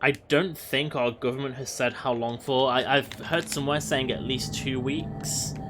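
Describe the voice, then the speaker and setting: Over music in the background, a man speaks at a moderate pace and medium pitch with fairly even intonation and hardly any pauses. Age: 30s. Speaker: video game streamer. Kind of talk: casual live-stream chat. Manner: halting, many fillers.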